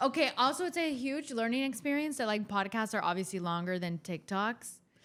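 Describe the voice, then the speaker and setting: Speaking fast-ish at a fairly quick pace, a woman with an American accent uses a fairly high pitch and very wide pitch swings. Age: 20s. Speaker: podcast co-host, daughter. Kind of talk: casual chat.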